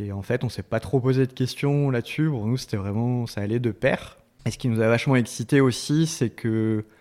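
A man speaks at a moderate pace, medium in pitch, with fairly even intonation. The recording is very clean, with a silent background. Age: 30s. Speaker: restaurant chain co-founder. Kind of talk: interview. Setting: office. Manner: hesitant, many fillers.

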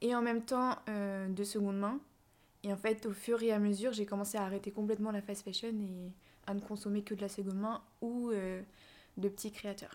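A woman's medium-pitched, monotone, flat delivery at a moderate pace, in a very clean recording with a silent background. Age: 20s. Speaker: content creator, student. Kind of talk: casual interview chat.

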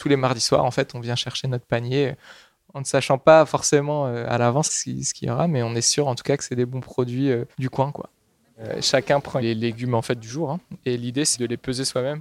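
Monotone, flat intonation from a man at medium pitch and moderate pace, in a dry, close sound with no echo. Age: 20s. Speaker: agricultural researcher. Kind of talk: interview. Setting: on location at a food co-op pickup. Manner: halting.

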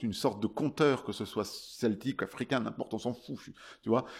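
Very clean recording with a silent background of a man at medium pitch, with ordinary pitch variation and a moderate pace. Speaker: singer-songwriter and ukulele player. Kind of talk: interview. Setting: festival. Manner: animated.

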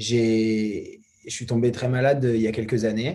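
In a dark, mellow tone, a man of medium pitch speaks with monotone, flat intonation. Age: 20s. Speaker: documentary filmmaker. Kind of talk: casual chat.

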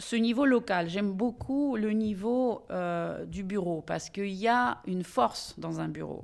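A woman speaks at a fairly slow pace with hardly any pauses, her medium pitch showing ordinary variation, on a very clean recording with a silent background. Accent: Russian. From Russia. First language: Russian (speaking French). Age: 50s. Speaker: lawyer, managing partner of a law firm. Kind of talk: interview.

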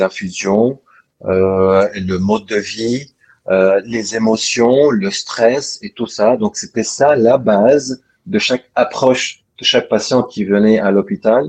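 Speaking very slowly, a man keeps a medium pitch with ordinary pitch variation. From Lebanon. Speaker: doctor. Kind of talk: interview. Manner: halting.

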